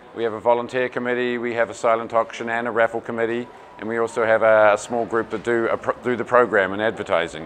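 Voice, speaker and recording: Noticeable background noise sits behind a man speaking at a very fast pace. He has a medium pitch, a slight New Zealand accent and monotone, flat intonation. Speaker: tournament organizer, parent. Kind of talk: interview.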